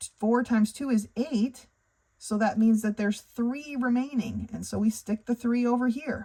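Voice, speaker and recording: At a moderate pace, a woman uses an unremarkable speaking voice with a fairly high pitch and fairly even intonation. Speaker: math tutor. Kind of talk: tutorial.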